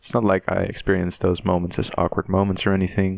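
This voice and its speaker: Speaking fairly quickly with a non-native accent, the voice comes through dry and close, with no echo. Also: man. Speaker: podcast host. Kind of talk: casual chat. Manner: halting.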